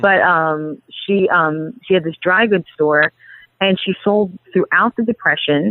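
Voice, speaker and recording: A woman speaks with a New York accent and lively intonation. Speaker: PR expert and agency CEO. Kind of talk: podcast interview.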